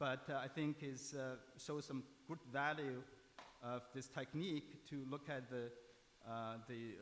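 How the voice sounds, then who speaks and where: With ordinary pitch variation, a man's voice stays at a medium pitch. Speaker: imaging researcher. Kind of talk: conference talk. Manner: halting, many fillers; fast.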